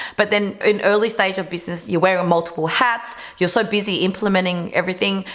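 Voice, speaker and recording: There is noticeable background noise as a woman talks. She has medium pitch and a fairly quick pace. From Vietnam. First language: Vietnamese. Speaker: entrepreneur. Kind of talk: casual vlog talk.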